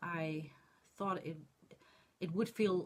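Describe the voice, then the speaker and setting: Somewhat breathy and fairly low-pitched, a woman with a Dutch accent talks at a fairly slow pace with ordinary pitch variation. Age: 40s. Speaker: crafting vlogger. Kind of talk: casual vlog monologue. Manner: halting, many fillers.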